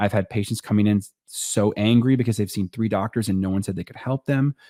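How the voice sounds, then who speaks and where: A man's dark, mellow voice at a very fast pace with fairly even intonation, in a dry, close sound with no echo and a very clean recording over a silent background. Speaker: orthopedic surgeon. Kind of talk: casual chat.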